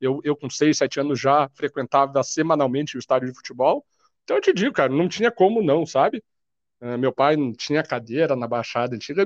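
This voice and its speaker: This is a man with a normal speaking voice, fairly high in pitch and lively in intonation. He talks at a fairly quick pace, and the sound is dry and close with no echo. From Brazil, Curitiba (Paraná). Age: 30s. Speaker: football fan. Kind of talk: casual chat.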